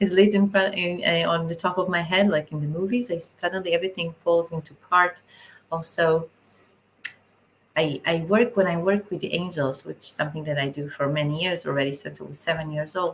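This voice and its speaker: Somewhat breathy and with an Israeli accent, the speaker goes at a fairly quick pace with ordinary pitch variation. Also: woman, fairly low pitch for a woman. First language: Hebrew. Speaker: spiritual channeler. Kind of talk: live stream talk. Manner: halting.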